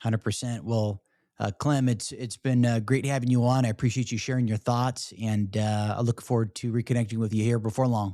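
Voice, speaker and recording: Delivered at a fairly quick pace in an American accent, this dark, mellow voice stays monotone and flat, with a dry, close sound free of echo and a very clean recording over a silent background. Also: man, medium pitch for a man. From US, Shenandoah Valley, Virginia. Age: 30s. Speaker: podcast host, military veteran. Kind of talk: interview; show outro.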